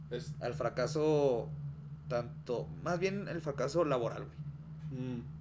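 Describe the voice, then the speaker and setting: Amid audible room echo, a man with a northern Mexican accent speaks very slowly at medium pitch, his voice making very wide pitch swings. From Chihuahua, northern Mexico. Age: 20s. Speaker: podcast guest. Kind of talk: casual chat.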